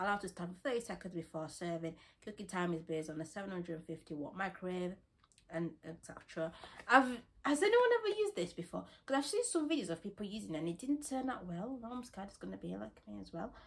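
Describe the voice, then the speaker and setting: A woman with a northern English accent at a very fast pace, her intonation lively and her loudness swinging widely. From West Yorkshire, England. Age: young. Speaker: student haul vlogger. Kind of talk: casual talk to camera, shopping haul. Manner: chatty, excitable. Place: home room. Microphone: phone near.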